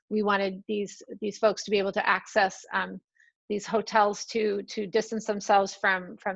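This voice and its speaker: Against a quiet background, a woman speaks at medium pitch with monotone, flat intonation in a dry, close sound with no echo. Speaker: state agency representative. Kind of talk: online forum presentation. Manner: fast.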